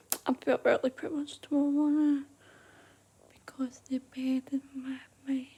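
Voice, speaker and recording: A woman whispers at a moderate speed. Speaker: vlogger. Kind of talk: casual vlog. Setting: at home at night. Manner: whispering; rambling, repetitive fillers.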